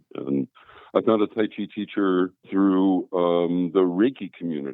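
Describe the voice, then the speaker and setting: A man with an American accent, very deep and low in pitch, at a fairly slow pace with ordinary pitch variation. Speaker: a cappella bass singer and voiceover artist. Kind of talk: interview answer.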